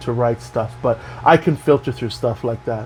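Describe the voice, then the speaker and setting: A man's moderately paced speech is heard against noticeable background noise. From Canada. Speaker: health and wellness vlogger. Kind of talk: casual monologue. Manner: animated.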